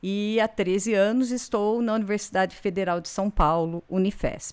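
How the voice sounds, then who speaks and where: In a very clean recording with a silent background, a woman with an unremarkable speaking voice talks at a fairly slow pace and a medium pitch. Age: 60s. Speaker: university professor of education. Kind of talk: interview chat.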